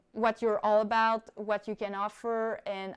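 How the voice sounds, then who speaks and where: Against a quiet background, a woman talks with a non-native accent. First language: not English. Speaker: skydiver and YouTuber. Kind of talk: live stream Q&A. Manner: casual, with fillers.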